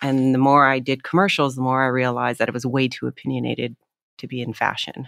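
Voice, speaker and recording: A woman with a Canadian accent speaks at a very fast pace in a very deep, low pitch. Her intonation is monotone and flat, in a very clean recording with a silent background. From Canada, Toronto. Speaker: actress. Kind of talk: casual chat.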